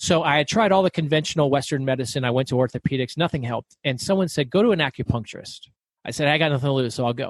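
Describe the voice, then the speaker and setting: A man talks very fast at a fairly high pitch, with ordinary pitch variation. The sound is dry and close, with no echo. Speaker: author and business owner. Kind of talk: podcast interview. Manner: loud.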